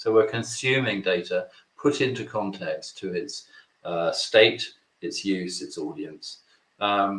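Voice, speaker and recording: A man with a British accent. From Britain. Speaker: webinar presenter. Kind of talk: webinar presentation.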